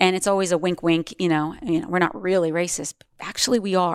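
A woman speaks with an ordinary speaking voice at a medium pitch, her intonation fairly even. The recording is very clean and dry, close and free of echo, with a silent background. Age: 50s. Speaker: yoga teacher and activist. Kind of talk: interview conversation.

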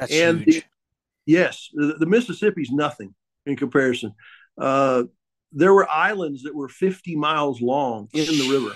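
A man's fairly high voice in an Ozark accent, at a moderate pace with ordinary pitch variation, long, frequent pauses and big swings in loudness. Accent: Ozark Southern US. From US South, Ozark Mountains. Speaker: boat builder. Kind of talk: casual chat.

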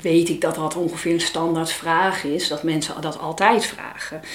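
The intonation stays fairly even. Room echo is audible, and background noise is noticeable. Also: woman. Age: 50s. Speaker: parent coach, mother of child with Down syndrome. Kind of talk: interview conversation.

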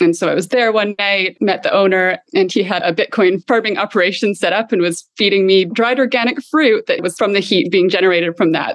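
In a Canadian accent, a woman with an unremarkable speaking voice talks at a fairly quick pace and medium pitch, with hardly any pauses, ordinary pitch variation and very even loudness. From Canada. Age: 30s. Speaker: health tech entrepreneur. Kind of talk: interview.

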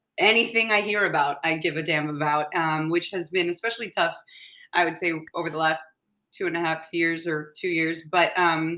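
A woman with an American accent talks at a fairly quick pace, her pitch fairly low and ordinarily varied. Her tone is bright and sharp. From US South, Atlanta. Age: 30s. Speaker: musical theater actress. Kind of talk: casual chat.

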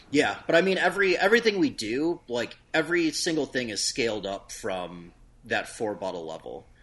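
Against a quiet background, this speaker uses an American accent, a moderate pace, very wide pitch swings and vocal fry. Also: man. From US Midwest. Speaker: hot sauce company owner. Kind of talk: casual chat.

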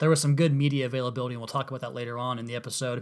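A man's fairly even intonation on a very clean recording with a silent background. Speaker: podcast host. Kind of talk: solo sports podcast monologue. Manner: fast talker.

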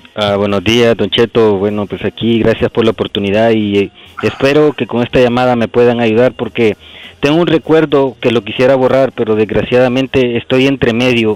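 A man speaks with a normal speaking voice at a medium pitch and a moderate pace. His intonation is fairly even and his loudness very even. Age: 40s. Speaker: caller. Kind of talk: phone-in confession.

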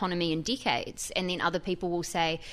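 In a New Zealand accent, a woman with a fairly low pitch talks at a very fast pace on a very clean recording with a silent background. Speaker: tech reporter. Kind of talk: radio interview. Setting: studio.

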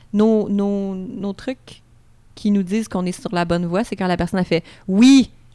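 A woman with a Quebec accent, medium pitch, ordinary pitch variation and a dark, mellow tone. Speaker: sexologist. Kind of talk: casual chat.

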